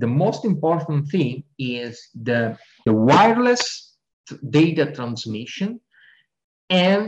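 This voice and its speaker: In an Italian accent, a man speaks at a very slow pace, his fairly high, somewhat breathy voice making very wide pitch swings. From Italy. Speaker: sports scientist. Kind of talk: interview.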